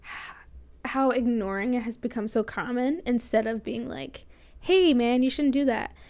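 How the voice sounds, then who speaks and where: A woman's high-pitched, fairly slow speech with an American accent. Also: ordinary pitch variation. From Florida, US. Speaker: college radio host. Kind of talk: casual solo talk show monologue. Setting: recording from home. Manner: soft-spoken, talks quietly.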